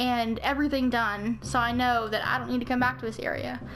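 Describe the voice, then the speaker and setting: With music in the background, a woman speaks at a high pitch and a fairly quick pace, her intonation fairly even. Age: 20s. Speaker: gaming YouTuber. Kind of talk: let's play commentary. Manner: casual, chatty.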